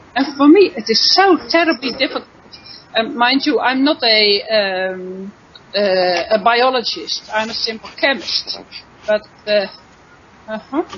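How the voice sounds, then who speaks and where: A woman's high-pitched voice with a non-native accent and lively intonation, fairly slow with long, frequent pauses, over noticeable background noise. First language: not English. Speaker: chemistry teacher. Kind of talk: online panel discussion.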